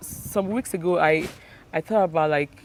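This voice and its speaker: A woman speaks with a Nigerian accent at a fairly low pitch. Her pace is moderate and her pitch varies in an ordinary way. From Nigeria (Delta State). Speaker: business owner. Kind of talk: interview. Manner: halting.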